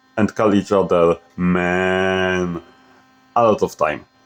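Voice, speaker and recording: A man speaks with a non-native accent. Music plays in the background. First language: not English. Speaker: fan fiction storyteller. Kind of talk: scripted narration.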